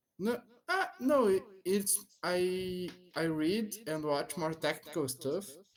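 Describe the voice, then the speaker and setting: This man's voice sits at a high pitch, with ordinary pitch variation at a very slow pace. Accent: Portuguese. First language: Portuguese. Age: 30s. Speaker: English learner, software developer intern. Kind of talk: language lesson conversation. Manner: halting.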